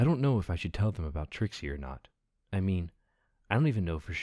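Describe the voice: Over a quiet background, the reading aloud is plain.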